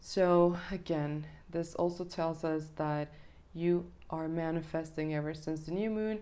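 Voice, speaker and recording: Audible room echo surrounds a woman with a dark, mellow tone and a fairly low pitch. She speaks at a fairly slow pace in a monotone, flat intonation. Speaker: tarot reader. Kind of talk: tarot reading monologue. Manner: hesitant fillers.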